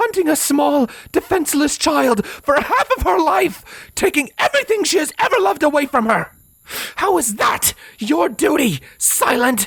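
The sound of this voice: In a put-on character voice, a man speaks at a moderate pace with an extremely high pitch, a fairly bright tone, big pitch swings and vocal fry.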